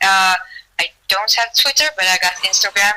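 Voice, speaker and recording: A woman with a Swedish accent talks at a fairly slow pace in a medium-pitched voice. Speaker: amateur MMA fighter. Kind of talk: interview.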